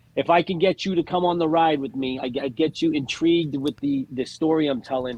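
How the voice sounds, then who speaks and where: A man talks with a Boston accent at a fairly high pitch. His pace is fairly quick, with ordinary pitch variation and hardly any pauses. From Massachusetts (Lawrence, Boston area). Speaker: stand-up comedian. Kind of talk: casual chat.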